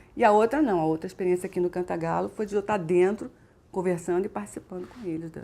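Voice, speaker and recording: On a very clean recording with a silent background, a woman with a Rio de Janeiro accent speaks very fast at medium pitch. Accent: Carioca Brazilian Portuguese. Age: 50s. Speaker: businesswoman. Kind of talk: interview answer.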